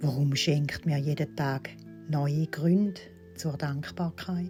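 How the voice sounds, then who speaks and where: Over music in the background, a woman talks at a very slow pace with a very deep, low pitch. Her pitch swings very widely. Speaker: meditation guide. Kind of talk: guided affirmation recording. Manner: soft, slow.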